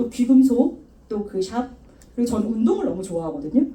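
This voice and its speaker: A woman with a high pitch speaks in an animated tone, with audible room echo around her. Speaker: network marketing speaker. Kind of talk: motivational talk. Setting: stage with audience. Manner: fast.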